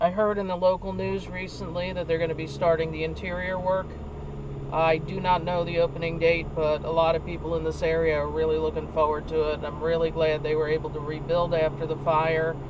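The speech moves at a fairly quick pace, the sound is dry with no echo, and there is noticeable background noise. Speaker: channel host. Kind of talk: casual vlog commentary. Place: car.

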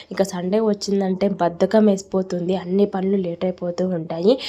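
A woman of medium pitch speaks with a dark, mellow tone and monotone, flat intonation. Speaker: lifestyle vlogger. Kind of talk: vlog voice-over narration.

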